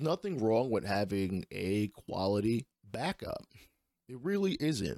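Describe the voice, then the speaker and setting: At a fairly slow pace, a man of medium pitch speaks with lively intonation and a dark, mellow tone, in a very clean, dry, close recording with no echo and a silent background. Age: 30s. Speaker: podcast host and gamer. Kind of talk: solo podcast monologue about sports video games. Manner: casual, opinionated, conversational.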